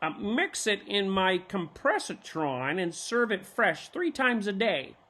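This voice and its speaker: An enthusiastic, put-on character voice at a middle pitch unfolds at a fairly slow pace. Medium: read story. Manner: enthusiastic, scholarly.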